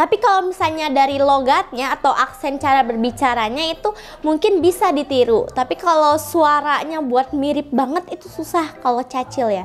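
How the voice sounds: Over music in the background, a woman speaks at a moderate pace with hardly any pauses, using a high pitch and lively intonation.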